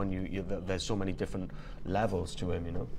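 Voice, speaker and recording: Over audible room echo, a man speaks at a very fast pace. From Wales. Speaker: voice actor. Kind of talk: casual interview chat. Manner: halting, many repetitions.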